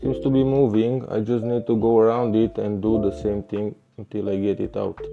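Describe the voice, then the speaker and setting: Over music in the background, a man with a non-native accent talks at a moderate pace, his fairly low pitch showing ordinary variation. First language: Romanian. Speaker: scooter repair technician. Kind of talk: repair tutorial. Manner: halting, with many fillers.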